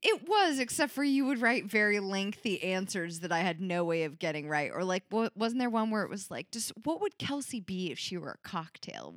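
A plain, everyday voice: a woman of medium pitch at a moderate pace with lively intonation and hardly any pauses. The sound is dry and close, with no echo. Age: 20s. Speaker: podcast co-host. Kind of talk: casual chat.

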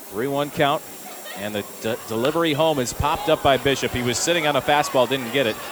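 Rushing along at a very fast pace, a man talks in a fairly high voice amid noticeable background noise. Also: ordinary pitch variation. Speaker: play-by-play broadcaster. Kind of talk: live commentary. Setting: ballpark broadcast.

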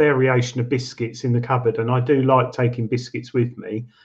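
A man with an English accent speaks at a medium pitch, his voice somewhat breathy. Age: 30s. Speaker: metal detecting show co-host. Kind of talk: casual chat.

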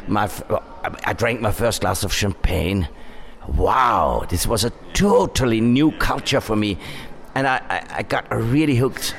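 With a German accent, the speaker moves at a fairly slow pace, pausing long and often. Background noise is noticeable. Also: man, medium pitch for a man, lively intonation. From Upper Austria. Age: 60s. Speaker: wine marketing director. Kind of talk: interview.

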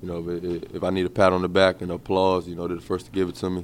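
A man is speaking with an American accent. His pitch is very deep and low. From Maryland, DC area. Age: 20s. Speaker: basketball player. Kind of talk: interview. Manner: halting.

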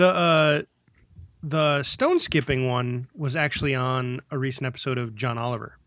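In a normal speaking voice with an American accent, the speaker moves at a moderate pace with fairly even intonation. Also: man, medium pitch for a man. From US Midwest. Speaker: podcast co-host. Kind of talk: casual chat.

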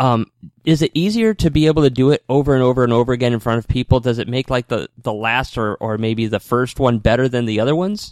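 In a dry, close recording with no echo, a man of medium pitch talks at a very fast pace with ordinary pitch variation. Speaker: radio host. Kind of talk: radio host patter, upbeat show intro and interview. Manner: fast, energetic, promotional.

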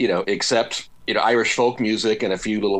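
A man's medium-pitched voice with an American accent and fairly even intonation, over a quiet background. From Seattle, US Pacific Northwest. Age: 50s. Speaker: rock guitarist and author. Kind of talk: interview.

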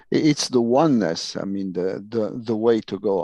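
A man at a fairly low pitch with an Italian accent, against a quiet background. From Italy. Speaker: UFO researcher. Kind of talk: interview. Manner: halting.

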